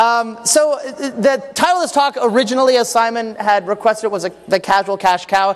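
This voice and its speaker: With noticeable background noise behind him, a high-pitched man speaks at a fairly quick pace with lively intonation. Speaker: game designer and conference speaker. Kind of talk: conference talk. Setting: stage with audience. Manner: halting, many fillers and restarts; loud. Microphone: echo in the room.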